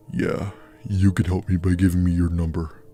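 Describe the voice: In a put-on character voice, a man speaks at a moderate pace with a very deep, low pitch, a raspy sound and monotone, flat intonation, while faint music plays in the background.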